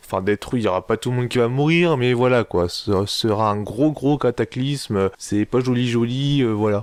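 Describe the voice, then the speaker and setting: In a very clean recording with a silent background and a dry, close sound with no echo, a man talks at a medium pitch with ordinary pitch variation. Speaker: anime reviewer. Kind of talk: casual video review. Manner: improvised, animated.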